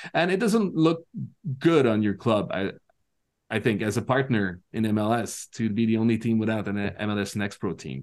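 A man talks at a medium pitch and a moderate pace. The background is quiet. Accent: Quebec. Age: 40s. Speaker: soccer commentator. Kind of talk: casual chat. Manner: halting.

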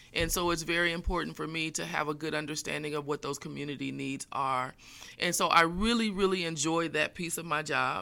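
This woman's voice is very deep and low in pitch, with a bright, sharp tone and vocal fry. She moves at a fairly quick pace with fairly even intonation. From Indiana, US Midwest. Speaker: community college chancellor. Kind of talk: interview.

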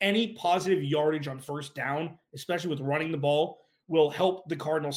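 Speaking at a fairly quick pace, a man uses a fairly high pitch with ordinary pitch variation. His voice is somewhat breathy. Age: 40s. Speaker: sports podcast host. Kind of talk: casual sports analysis monologue.

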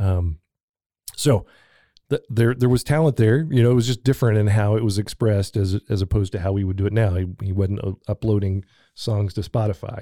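A fairly low-pitched man with a dark, mellow tone at a fairly quick pace, on a very clean recording with a silent background. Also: ordinary pitch variation, dry, close sound with no echo. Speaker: local history podcast co-host. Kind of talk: casual chat.

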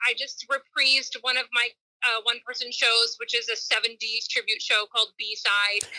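A woman with an American accent speaks at a high pitch in a bright, sharp tone with monotone, flat intonation at a moderate pace, in a dry, close sound with no echo. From New York. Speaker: performer and nutrition coach. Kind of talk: casual interview chat.

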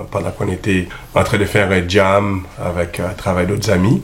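Over noticeable background noise, a man with a fairly low pitch talks at a moderate pace in a monotone, flat intonation. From Montreal, African roots. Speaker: musician. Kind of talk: radio interview.

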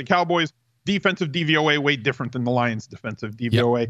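Against a quiet background, a man talks at a fairly quick pace, his bright, sharp voice carrying lively intonation. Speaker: fantasy football analyst. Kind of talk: casual chat.

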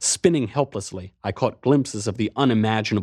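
Someone reads aloud in a natural voice, and the pitch moves up and down in an ordinary way.

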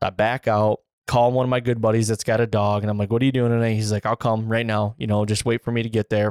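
A man with an American accent speaks at a medium pitch and a very fast pace, with hardly any pauses, very even loudness and monotone, flat intonation. The recording is very clean, dry and close, with no echo and a silent background. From Central Michigan. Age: 30s. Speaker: deer hunter and podcast host. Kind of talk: casual chat.

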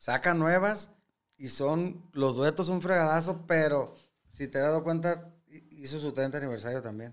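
A man speaks at a moderate pace in an unremarkable speaking voice. His pitch is fairly high, with ordinary variation. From Sinaloa, Mexico. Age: 40s. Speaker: regional Mexican singer. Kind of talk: casual interview chat. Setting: studio.

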